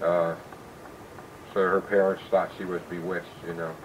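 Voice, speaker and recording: With noticeable background noise behind him, the man speaks in an American accent at a moderate pace. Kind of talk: casual storytelling, recorded conversation. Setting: home recording.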